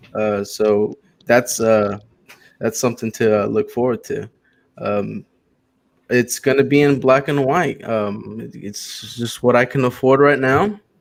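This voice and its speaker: A man with an American accent speaks at a fairly slow pace. His is a normal speaking voice, medium in pitch with ordinary pitch variation. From Texas, Houston. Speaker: comic book creator pitching a campaign. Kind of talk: casual chat.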